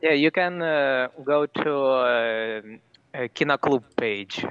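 A man's medium-pitched voice at a very slow pace, with ordinary pitch variation and very even loudness. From Russia (Ufa). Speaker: university student. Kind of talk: casual chat. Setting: video call.

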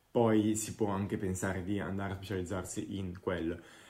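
A man speaks at a fairly quick pace, and audible room echo follows his voice. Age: 20s. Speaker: product designer. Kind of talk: interview.

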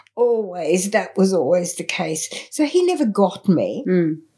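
Somewhat breathy and dark, mellow in tone, a woman speaks very slowly with an Australian accent. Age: 70s. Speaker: artist and healer. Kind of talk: interview conversation.

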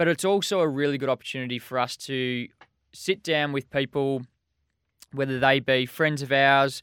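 Man with an unremarkable speaking voice, fairly even intonation, and a moderate pace, on a very clean recording with a silent background. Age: 30s. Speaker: podcast co-host. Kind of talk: casual chat.

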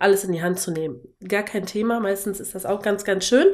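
A woman's medium-pitched, fairly even voice, an ordinary speaking voice. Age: 30s. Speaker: wooden decor maker. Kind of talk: casual interview.

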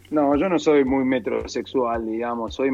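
Fairly slow speech from a man, medium pitched, with ordinary pitch variation. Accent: Rioplatense. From Argentina, La Plata. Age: 40s. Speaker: entrepreneur and speaker. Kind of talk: casual interview.

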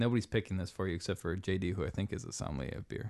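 With an American accent and an ordinary speaking voice, a man talks at a fairly low pitch with ordinary pitch variation against a quiet background. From US Pacific Northwest (Seattle). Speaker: brewer. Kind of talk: casual chat. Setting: studio.

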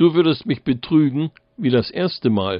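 A man with a fairly high pitch moves through very wide pitch swings at a very slow pace. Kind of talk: fairy tale narration, read aloud with character voices.

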